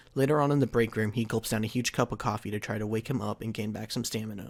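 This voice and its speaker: In a very clean recording with a silent background, the speech runs at a very fast pace with fairly even intonation. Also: man. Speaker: anime fan commentator. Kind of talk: fan fiction narration.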